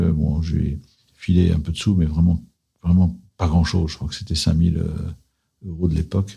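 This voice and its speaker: A man with a very deep, low pitch speaks in a dark, mellow tone that is somewhat breathy. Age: 60s. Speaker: private equity investor. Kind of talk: testimony interview.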